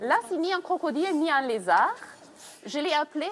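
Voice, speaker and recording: A woman with a German accent, high-pitched and fairly slow, with very wide pitch swings. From Germany. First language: German (speaking French). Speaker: castle tour guide for school groups. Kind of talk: guided tour for children. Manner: animated.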